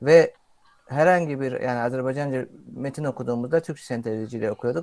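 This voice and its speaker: The speaker has a normal speaking voice. The pace is moderate. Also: man. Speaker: content creator. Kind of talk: casual chat.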